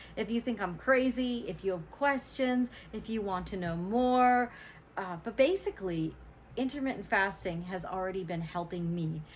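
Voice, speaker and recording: A somewhat breathy woman's voice, medium in pitch, with lively intonation at a moderate pace. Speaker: vlogger. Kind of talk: personal vlog talk to camera. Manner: animated.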